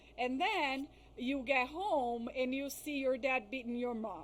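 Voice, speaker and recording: Over noticeable background noise, a woman speaks at a fairly slow pace with a high pitch. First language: not English. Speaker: psychologist specializing in crisis and trauma. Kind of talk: interview on podcast.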